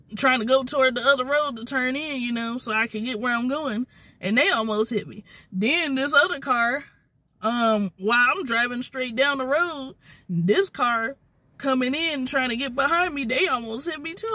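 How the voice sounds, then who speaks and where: Her voice raised and projected, a woman speaks at a moderate pace in a bright, sharp tone with ordinary pitch variation, the sound dry with no echo. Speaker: vlogger. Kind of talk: casual vlog chat. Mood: annoyed, venting about drivers. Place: car. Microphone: phone near.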